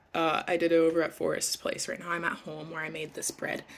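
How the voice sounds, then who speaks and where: A woman talks at a moderate pace. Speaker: vlogger. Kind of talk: casual vlog chat. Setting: at home. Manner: casual, filler-heavy.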